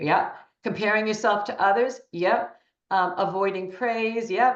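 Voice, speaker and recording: A woman speaks at a fairly slow pace in an ordinary speaking voice. Her pitch sits in the medium range. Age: 60s. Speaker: interviewee, women's empowerment speaker. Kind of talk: interview.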